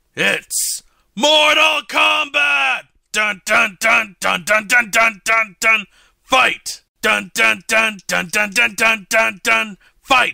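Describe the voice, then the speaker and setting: A man shouting in a put-on character voice, high-pitched and very slow. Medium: audio drama. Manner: grandiose, theatrical.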